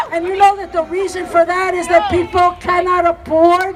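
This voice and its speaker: A woman with an American accent speaks at an extremely high pitch and a moderate pace, her intonation flat and monotone. Crowd noise can be heard in the background. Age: 70s. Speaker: activist speaker. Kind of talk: rally speech. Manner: impassioned.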